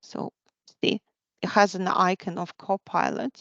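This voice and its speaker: Dry and close with no echo, the voice carries a non-native accent and fairly even intonation. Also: woman. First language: not English. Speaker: tech presenter. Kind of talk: live software demo. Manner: halting, many restarts.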